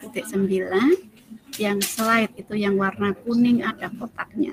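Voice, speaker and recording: Clearly audible background noise sits behind speech delivered at a medium speed. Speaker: teacher and workshop trainer. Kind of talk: online training tutorial. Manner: soft-spoken.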